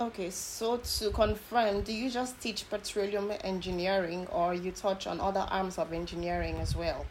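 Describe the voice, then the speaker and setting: In a normal speaking voice of medium pitch, a woman talks at a moderate pace with fairly even intonation and hardly any pauses. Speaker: country manager and co-host. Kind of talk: interview, polite.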